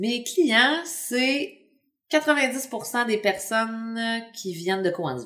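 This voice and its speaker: Very slow in pace, a woman speaks with lively intonation. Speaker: urban market gardener. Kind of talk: casual interview. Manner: halting.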